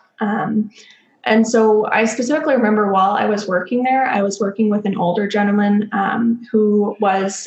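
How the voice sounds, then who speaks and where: Through noticeable background noise, a woman with a fairly high voice speaks at a moderate pace with fairly even intonation. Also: very even loudness. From Texas, Dallas. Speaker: doctoral student in clinical psychology. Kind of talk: podcast interview.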